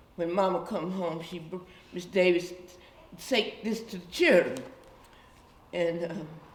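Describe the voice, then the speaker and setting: A woman talks at a fairly slow pace in a fairly low voice, with long, frequent pauses and big swings in loudness. The room echo is audible, and background noise is noticeable. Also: ordinary pitch variation. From US South, Guilford County, North Carolina. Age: 80s+. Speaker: community elder. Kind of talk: oral history interview. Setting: church.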